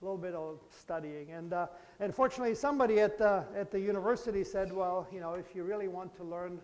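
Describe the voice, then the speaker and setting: With a German accent, a man talks very fast at a high pitch, showing ordinary pitch variation and big swings in loudness. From Germany, Bavaria. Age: 50s. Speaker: professor. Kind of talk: lecture. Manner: conversational, engaging with children.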